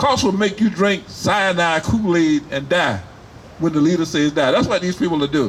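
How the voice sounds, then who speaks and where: An animated, high-pitched male voice with ordinary pitch variation. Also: moderate pace, very even loudness. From US South, Wilmington, North Carolina. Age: 70s. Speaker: rally speaker, military veteran. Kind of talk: rally speech.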